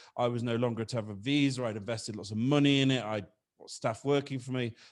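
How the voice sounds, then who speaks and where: This man speaks with a British accent. His pitch is medium. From Britain. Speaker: business consultant. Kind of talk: podcast interview. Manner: halting, repeats words.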